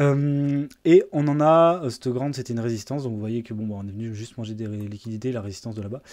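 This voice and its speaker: A very fast delivery with hardly any pauses, a dark, mellow tone, ordinary pitch variation and big swings in loudness. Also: man, medium pitch for a man. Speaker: crypto market analyst. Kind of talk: market analysis tutorial. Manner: hesitant, many filler words.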